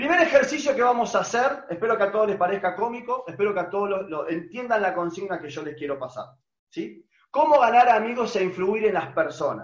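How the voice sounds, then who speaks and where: A man with an Argentine accent, high-pitched for a man, with lively intonation, big swings in loudness and a fairly quick pace. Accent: Rioplatense Argentine Spanish. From Argentina. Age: 40s. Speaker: online business trainer. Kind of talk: webinar presentation.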